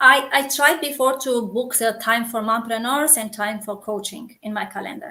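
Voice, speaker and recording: With a Romanian accent, a woman speaks at a moderate pace in a fairly high, bright, sharp voice, her loudness swinging widely while her pitch varies in an ordinary way. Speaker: coach and community founder. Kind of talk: interview. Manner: halting.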